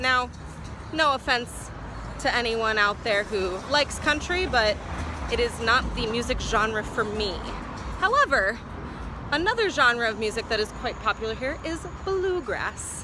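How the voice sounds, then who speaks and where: Music plays in the background as a woman speaks at a high pitch with lively intonation. Her pace is fairly slow, and the sound is dry with no echo. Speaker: travel vlogger. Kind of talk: casual vlog chat. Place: street. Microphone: phone near.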